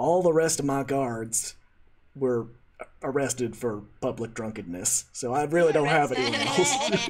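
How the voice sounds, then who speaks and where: Putting on a character voice, a man drawls in a Texan accent at a medium pitch and moderate pace. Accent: Texan drawl. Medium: actual play. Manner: folksy drawling.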